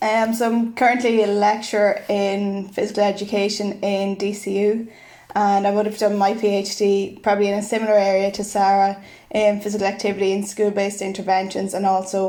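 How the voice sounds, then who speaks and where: With an Irish accent, the speaker talks at a fairly quick pace in a monotone, flat intonation, with audible room echo. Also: woman, medium pitch for a woman. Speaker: physical education lecturer. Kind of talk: podcast interview.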